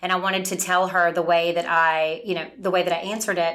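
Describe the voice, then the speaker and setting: The speaker moves at a fairly quick pace with fairly even intonation, and audible room echo surrounds the voice. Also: woman. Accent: Southern US. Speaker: medical sales representative. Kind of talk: casual chat.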